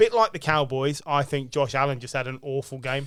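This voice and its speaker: With a British accent, a man speaks at medium pitch in a very clean recording with a silent background. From Britain. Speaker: sports podcast host. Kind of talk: casual chat. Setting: around a table at a home.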